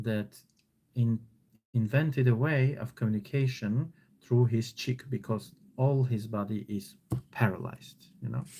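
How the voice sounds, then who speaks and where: Using an Armenian accent, a man speaks at a fairly slow pace and medium pitch in a dark, mellow, somewhat breathy tone, with fairly even intonation and long, frequent pauses. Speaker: online teacher. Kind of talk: live stream reading and commentary. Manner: casual, hesitant with fillers.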